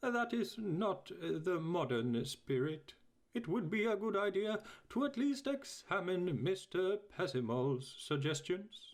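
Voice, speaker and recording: A man in a put-on character voice, high-pitched, at a fairly slow pace. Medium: read story. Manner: hesitant, full of ums and uhs.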